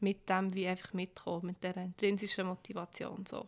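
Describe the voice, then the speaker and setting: A woman's medium-pitched voice with a Bernese accent. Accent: Bernese Swiss German. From Switzerland, Bern. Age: 20s. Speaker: head of a women's rights association. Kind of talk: casual interview. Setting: office, seated at a desk.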